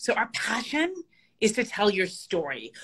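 At a moderate pace, the voice has a bright, sharp tone over a quiet background. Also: woman. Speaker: remote guest. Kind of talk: interview answer. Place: home room. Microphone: video call.

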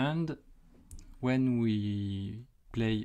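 The background is quiet. The speaker talks with a French accent. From France. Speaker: YouTuber and site reliability engineer. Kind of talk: tutorial. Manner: hesitant with frequent fillers.

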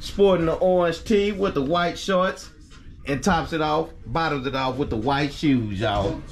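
A man's fairly slow speech over music in the background. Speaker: family vlogger. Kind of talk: casual vlog chat. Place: home room. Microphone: phone near.

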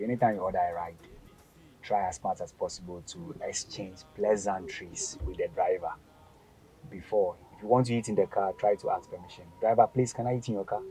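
Over faint music in the background, a man talks at a fairly low pitch with ordinary pitch variation. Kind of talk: casual vlog chat. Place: car. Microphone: phone near.

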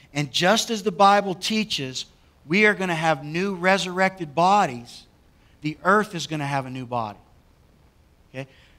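A man speaks at a moderate pace, with long pauses coming often. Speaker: pastor. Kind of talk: sermon. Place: church. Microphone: headset.

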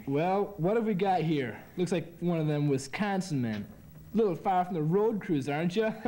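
A man speaks at a high pitch. His pace is moderate. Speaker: actor in a scene. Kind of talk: acted dialogue. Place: gym.

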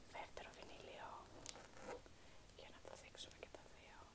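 A woman speaks at a fairly slow pace. Loud background noise runs underneath. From Greece. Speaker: ASMR creator. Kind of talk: casual talk to camera, unboxing. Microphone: phone near.

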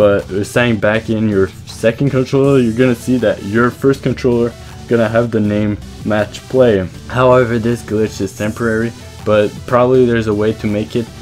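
A man with a medium-pitched voice speaks at a moderate pace over music in the background. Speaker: gaming video creator. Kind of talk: video game tutorial voiceover.

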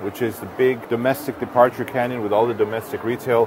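A man talks at a very fast pace. The sound is dry with no echo, though background noise is noticeable. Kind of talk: explanatory tour talk. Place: hall. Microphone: lapel.

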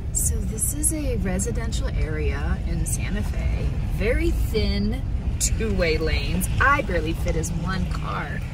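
A woman speaks over music in a dry recording with no echo. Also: fairly slow pace. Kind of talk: casual vlog chat. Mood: flustered, amused disbelief. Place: car. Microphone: phone near.

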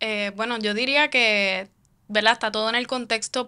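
A moderate pace and a bright, sharp tone from a woman. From Puerto Rico, Caguas; Puerto Rico. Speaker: founder of independent digital media project; podcast guest, civic organization spokesperson. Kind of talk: interview conversation. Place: studio. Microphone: studio mic.

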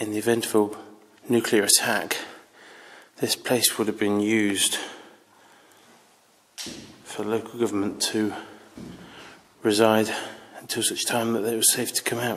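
With long, frequent pauses, a man talks at a fairly slow pace in a fairly low pitch and a monotone, flat intonation. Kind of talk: casual exploration commentary. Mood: slightly nervous, hushed. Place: tunnel cave. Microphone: phone near.

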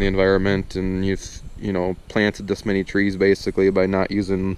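Fairly low-pitched male voice at a fairly quick pace. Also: dry sound with no echo. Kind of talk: casual vlog chat. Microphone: phone near.

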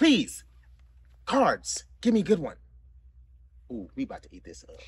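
A man speaks at a moderate pace in a bright, sharp tone with lively intonation. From US South, the Carolinas. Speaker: talk show host and game creator. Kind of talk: casual chat while playing a party game. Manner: animated, frequent laughter.

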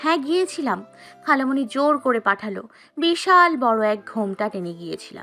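A woman uses a put-on character voice, high-pitched and bright, sharp in tone, with big pitch swings. She keeps a moderate pace over faint background music.

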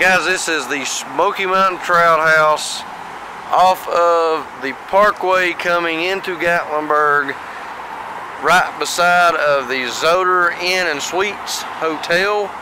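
Speaking very slowly with fairly even intonation, a man with a high pitch for a man comes through a dry sound with no echo and noticeable background noise. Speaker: vlogger. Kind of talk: casual vlog chat. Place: street. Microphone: phone near.

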